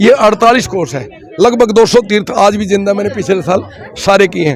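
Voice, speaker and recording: There is noticeable noise behind the speaker. His voice is high-pitched for a man. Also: ordinary pitch variation, moderate pace. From Haryana, Kurukshetra area. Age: 60s. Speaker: folk culture performer. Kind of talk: interview.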